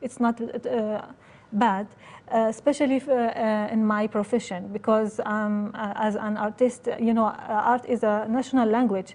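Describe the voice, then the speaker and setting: Her voice is somewhat breathy, with a fairly high pitch. The woman keeps a fairly even intonation. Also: moderate pace. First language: not English. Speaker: immigrant artist. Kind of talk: interview testimony. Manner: halting.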